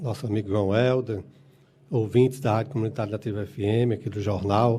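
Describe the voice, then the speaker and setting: A man speaks at a medium pitch. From Brazil, Ceará (rural Tabuleiro do Norte area). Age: 50s. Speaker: union leader and council candidate. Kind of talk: radio interview. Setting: radio studio. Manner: halting, frequent filler words.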